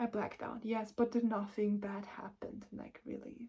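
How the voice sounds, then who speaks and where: At a moderate pace, a woman with a fairly high pitch speaks in a somewhat breathy voice. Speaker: spiritual vlogger. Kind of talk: personal vlog. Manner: emotional, rambling.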